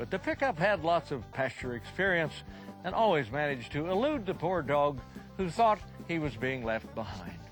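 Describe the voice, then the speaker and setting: There is music in the background as a man speaks. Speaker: cowboy poet and storyteller; rancher. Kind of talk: humorous storytelling.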